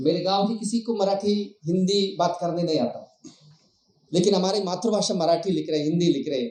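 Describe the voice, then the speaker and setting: Here a man speaks with a high pitch. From Gadchiroli, Maharashtra (Bhamragad area). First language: Madia (Gondi) (speaking Hindi). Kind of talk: public speech.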